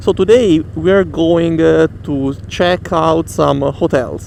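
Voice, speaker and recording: Noticeable background noise sits behind the voice. A man speaks at a fairly high pitch. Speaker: motorcycle vlogger. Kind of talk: vlog narration while riding. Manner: halting, many fillers.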